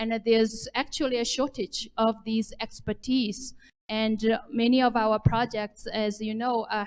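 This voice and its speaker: The speaker has a Chinese accent and a fairly slow pace. The intonation is monotone and flat. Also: woman, fairly high pitch for a woman. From China. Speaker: development bank official, panelist. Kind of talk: panel discussion. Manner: halting, repeats words.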